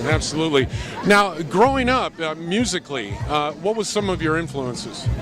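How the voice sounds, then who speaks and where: Over noticeable background noise, a man with a fairly high pitch talks at a moderate pace with very wide pitch swings. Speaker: voice actor. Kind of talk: TV host interview.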